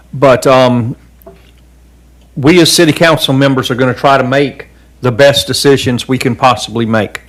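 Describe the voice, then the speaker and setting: A man with a Southern US accent, medium pitch, fairly even intonation and a moderate pace. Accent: Southern US (Georgia). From US South, coastal Georgia. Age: 60s. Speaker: city council member. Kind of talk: public meeting remarks. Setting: council chamber meeting.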